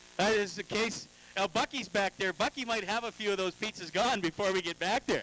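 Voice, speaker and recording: A man's high, raised and projected voice, fairly quick, with ordinary pitch variation, in a dry, close sound with no echo and noticeable background noise. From Alberta, Canada. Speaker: race track interviewer. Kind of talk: trackside interviews.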